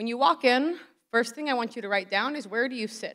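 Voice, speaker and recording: Very fast speech comes from a woman with a fairly high pitch and ordinary pitch variation. The recording is very clean with a silent background. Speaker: poet and writer giving a conference talk. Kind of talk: workshop talk to an audience. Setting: conference room with live audience, cordless mic. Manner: loud.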